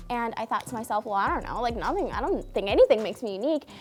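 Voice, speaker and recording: Lively intonation marks a woman talking at a very fast pace. Noticeable background noise is present. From Cape Verde, then US inner city from age seven. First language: Cape Verdean Creole. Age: 20s. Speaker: beauty pageant winner. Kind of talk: interview. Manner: some hesitations and fillers.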